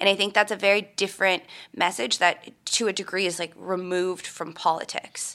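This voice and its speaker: In an American accent, the voice has a bright, sharp tone, fairly even intonation and a fairly quick pace. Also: woman, medium pitch for a woman. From Minnesota. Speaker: political reporter. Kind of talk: interview.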